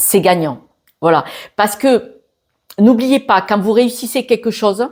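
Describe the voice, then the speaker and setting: Talking at a fairly slow pace, a woman uses an ordinary speaking voice at fairly high pitch with ordinary pitch variation, on a very clean recording with a silent background. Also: very even loudness. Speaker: tarot reader. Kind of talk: astrology reading. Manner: casual, many filler sounds.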